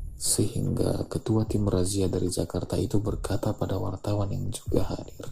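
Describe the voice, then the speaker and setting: This man talks with hardly any pauses, a fairly low pitch, fairly even intonation and a somewhat breathy quality. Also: moderate pace. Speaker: audiobook narrator. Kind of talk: literary audiobook reading of a short story, scripted narration. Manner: measured, even storytelling pace with a steady, expressive narrator tone.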